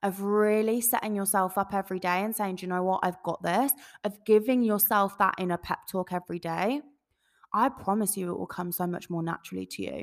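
Speaking with an English accent, a woman uses medium pitch and ordinary pitch variation. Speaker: podcast host. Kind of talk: casual solo talk to listeners. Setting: home recording, echoey room. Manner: animated.

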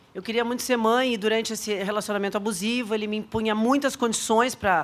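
A woman talks very fast in a fairly high voice, with ordinary pitch variation. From southern Brazil, Porto Alegre. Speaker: civil registry officer. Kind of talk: personal testimony. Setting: live audience at a training event.

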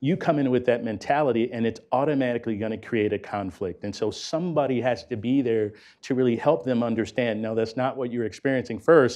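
With an American accent and a normal speaking voice, a man of medium pitch talks at a fairly quick pace against a quiet background. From US inner city. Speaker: corporate executive running apprenticeship program. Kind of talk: panel discussion.

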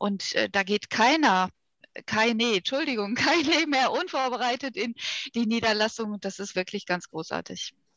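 Bright and sharp in tone, a woman's fairly high voice carries lively intonation in a dry, close recording with no echo. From Ruhr area, Germany. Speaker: vascular surgeon. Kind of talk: interview.

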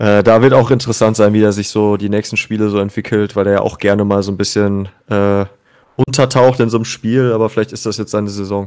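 In a very clean recording with a silent background, a man rattles off words at a very fast pace, fairly low-pitched and in a flat monotone. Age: 30s. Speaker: music podcaster, football fan guest. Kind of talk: casual chat.

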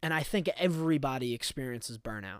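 A man with a fairly high pitch and a normal speaking voice at a moderate pace, on a very clean recording with a silent background. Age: 20s. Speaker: podcast host. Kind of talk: solo casual monologue.

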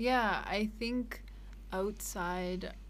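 A woman speaks with a Canadian accent. The room echo is audible. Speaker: missionary and social worker. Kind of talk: casual interview.

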